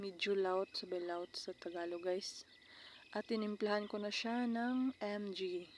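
A woman's medium-pitched voice at a very slow pace. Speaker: cooking vlogger. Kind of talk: tutorial.

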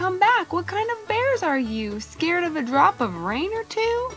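Faint music plays behind a woman doing a put-on character voice. She talks at a fairly slow pace with an extremely high pitch and big pitch swings.

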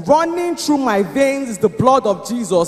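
Over background music, a man speaks with lively intonation. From Nigeria. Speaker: spoken word poet. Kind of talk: spoken word poetry performance at church service. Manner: declamatory, emphatic. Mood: fervent, triumphant faith. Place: church. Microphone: handheld.

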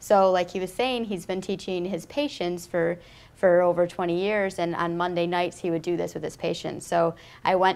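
An ordinary speaking voice from a woman, fairly low in pitch, moderate in pace, with fairly even intonation. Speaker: interview guest. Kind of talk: interview. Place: studio.

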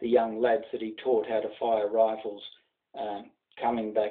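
Set against a quiet background, the speaker uses an Australian accent at a moderate pace. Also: man. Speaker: journalist. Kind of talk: casual talk to camera. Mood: earnest, reverent. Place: home room. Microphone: webcam.

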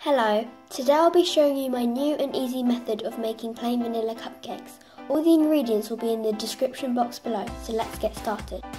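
Music plays in the background as a woman speaks. Her voice is high and her pace fairly quick. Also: ordinary pitch variation. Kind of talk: recipe tutorial narration.

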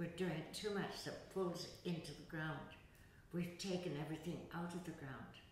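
A woman speaks at a moderate pace in a fairly low, monotone voice with flat intonation. Audible room echo and light background noise surround her. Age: 80s+. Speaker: yoga teacher. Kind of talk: interview answer. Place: hall.

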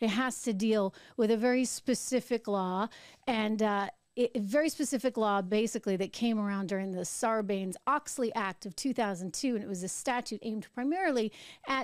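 A woman at a moderate pace with ordinary pitch variation, a dry sound with no echo, and a quiet background. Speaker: show host. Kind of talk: political commentary. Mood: skeptical, argumentative. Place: studio. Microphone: studio mic.

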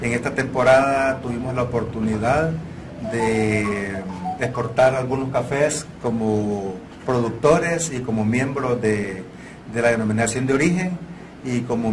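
A man speaks at a fairly slow pace with ordinary pitch variation. Noticeable background noise is present. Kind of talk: interview answer. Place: meeting room. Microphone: lapel.

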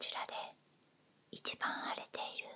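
A soft-spoken woman whispers in a gentle tone. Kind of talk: soft-spoken role-play to viewer. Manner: soft ASMR whisper, gentle clinical tone.

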